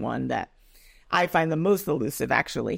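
A woman's voice with vocal fry at a moderate pace, on a very clean recording with a silent background. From Nigeria. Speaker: arts nonprofit executive director. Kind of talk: interview conversation.

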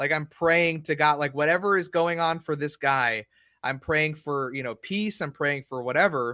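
Recorded with a dry, close sound and no echo, a man speaks at a moderate pace in a bright, sharp, fairly high voice. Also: ordinary pitch variation, very clean recording, silent background. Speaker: podcast host. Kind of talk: casual chat.

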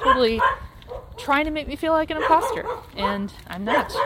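Woman at a moderate pace amid noticeable background noise. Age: 40s. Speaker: podcaster. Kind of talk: casual monologue. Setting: outdoors. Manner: walking while talking.

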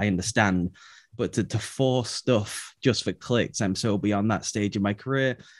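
A man speaks with an American accent. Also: dry, close sound with no echo, quiet background. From England. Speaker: football podcast co-host, writer. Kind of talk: casual chat.

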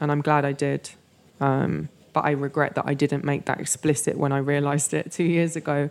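In a London accent, a woman with a very deep, low pitch talks at a fairly quick pace with monotone, flat intonation. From North London, England. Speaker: writer and moderator. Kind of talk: interview. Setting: studio.

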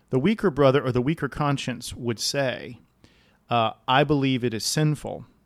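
Medium-pitched with ordinary pitch variation, a man talks at a moderate pace in a normal speaking voice, in a very clean recording with a silent background. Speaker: pastor and podcast host.

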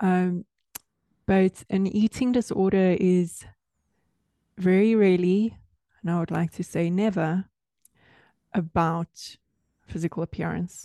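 In a dark, mellow tone, the speaker goes at a fairly slow pace with long, frequent pauses and fairly even intonation, the sound dry and close with no echo over a quiet background. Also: woman, medium pitch for a woman. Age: 30s. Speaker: yoga and Pilates teacher, author. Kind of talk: casual interview chat.

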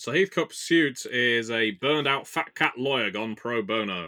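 A man speaks with a British accent at a fairly slow pace. His tone is bright and sharp. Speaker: tabletop game player and podcast co-host. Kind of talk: casual chat. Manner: rambling, jokey.

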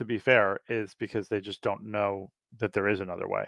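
Speaking in an unremarkable speaking voice with an American accent, a man talks at a fairly low pitch and moderate pace in a dry, close sound with no echo over a quiet background. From US Northeast, New York City. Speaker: productivity coach. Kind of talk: interview.

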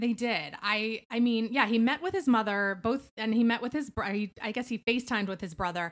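A woman talks at a fairly quick pace. She has an ordinary speaking voice. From Philadelphia. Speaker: beauty writer. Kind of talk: casual chat.

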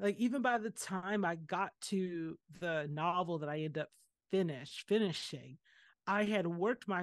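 With a dry, close sound, no echo and a quiet background, a woman talks at a fairly slow pace in a normal speaking voice with fairly low pitch. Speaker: artist and poet. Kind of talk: casual chat.

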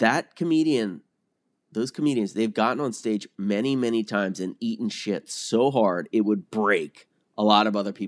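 A plain, everyday voice speaks at a moderate pace, with a dry, close sound, no echo and a quiet background. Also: man. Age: 40s. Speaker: newsletter writer in addiction recovery.

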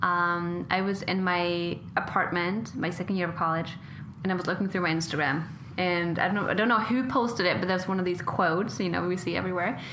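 A woman's fairly low-pitched voice with fairly even intonation at a fairly quick pace, plus audible room echo. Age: 20s. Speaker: podcast host and model. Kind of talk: interview conversation.

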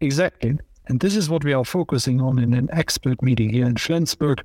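A normal speaking voice comes at a fairly quick pace with ordinary pitch variation, the sound dry and close with no echo. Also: man. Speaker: podcast host and security policy academic. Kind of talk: conversational analysis of news.

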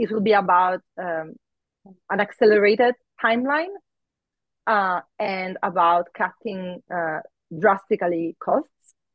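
A woman with a non-native accent, medium pitch, ordinary pitch variation and a fairly slow pace. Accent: foreign-accented English. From outside the US. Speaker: astrophysicist. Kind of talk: interview. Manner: hesitant, filler-heavy.

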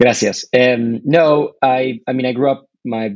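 With an American accent, a man speaks fairly slowly at a medium pitch, his intonation fairly even.

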